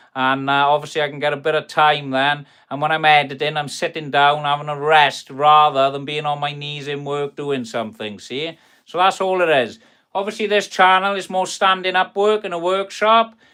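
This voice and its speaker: A man's fairly high voice in a Welsh accent, at a moderate pace with ordinary pitch variation. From South Wales. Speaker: carpenter and kitchen fitter. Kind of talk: live stream chat reading viewer comments. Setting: workshop. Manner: casual, chatty.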